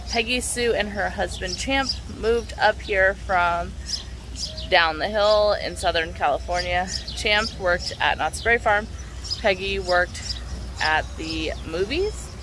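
Recorded with a dry sound and no echo but noticeable background noise, a woman speaks at a fairly slow pace. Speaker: travel vlogger. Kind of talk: casual vlog chat. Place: garden. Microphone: phone near.

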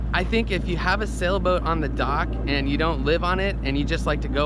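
Loud background noise surrounds a man talking at a fairly quick pace. His sound is dry, with no echo. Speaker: sailing vlogger. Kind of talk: casual vlog chat. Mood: explaining, slightly defensive. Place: boat. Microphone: phone near.

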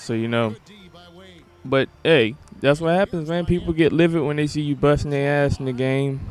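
A man with a fairly high pitch and an animated tone speaks at a moderate pace with long, frequent pauses, amid noticeable background noise. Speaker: gaming YouTuber. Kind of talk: angry gaming rant, casual commentary over gameplay. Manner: loud, irritated, profane, animated.

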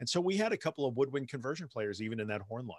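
There is lively intonation from a man with an American accent and a medium pitch, recorded dry with no echo against a quiet background. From New York. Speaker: podcast host and author on anxiety; podcast guest. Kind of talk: casual interview chat. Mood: warm, reassuring. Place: home room.

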